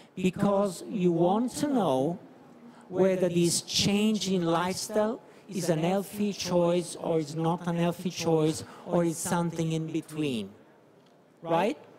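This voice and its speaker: Over noticeable background noise, a man with an Italian accent speaks very slowly at a high pitch, with ordinary pitch variation. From Italy. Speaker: medical professor. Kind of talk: conference talk. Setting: conference stage with audience. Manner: halting.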